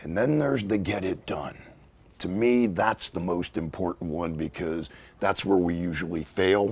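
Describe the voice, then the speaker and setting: This man has a very deep, low pitch and an American accent. He speaks at a fairly slow pace with lively intonation. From Pittsburgh, US. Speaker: author. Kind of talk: interview. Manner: animated.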